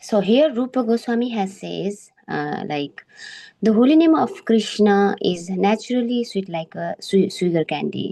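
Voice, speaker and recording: A woman's medium-pitched voice at a fairly slow pace, with lively intonation. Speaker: member of a scripture study group. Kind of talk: scripture study presentation. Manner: halting, many fillers.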